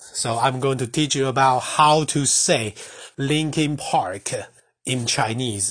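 Speaking very slowly with a Mandarin accent, a man with a fairly high pitch and ordinary pitch variation sounds somewhat breathy. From Taiwan. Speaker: language teacher. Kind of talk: tutorial. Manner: halting.

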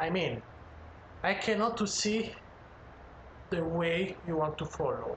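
Amid noticeable background noise and audible room echo, a man with a high pitch speaks at a very slow pace with ordinary pitch variation. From Italy. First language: Italian (speaking Chinese). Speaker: chef. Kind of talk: casual chat. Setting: home living room.

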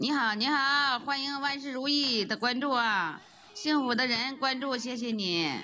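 A woman's high-pitched, raised and projected voice carries over audible room echo. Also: ordinary pitch variation, fairly slow pace. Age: 50s. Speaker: rural livestreamer, farmer. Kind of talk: casual livestream chat.

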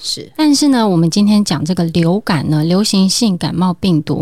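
A somewhat breathy voice at a moderate pace on a very clean recording with a silent background. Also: woman. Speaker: family medicine doctor. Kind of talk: interview.

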